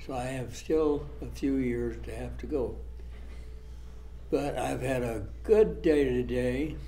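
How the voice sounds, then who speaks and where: With audible room echo, a man in an American accent speaks at a very slow pace, leaving long, frequent pauses. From US Midwest, Iowa farming community. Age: 90s. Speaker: war veteran. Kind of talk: oral history interview. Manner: halting.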